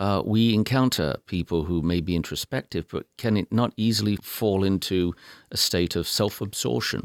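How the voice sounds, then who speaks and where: A man with an English accent, fairly low pitch, ordinary pitch variation and a moderate pace, captured in a very clean recording with a silent background. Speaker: public radio talk show host. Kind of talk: interview. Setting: studio. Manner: formal.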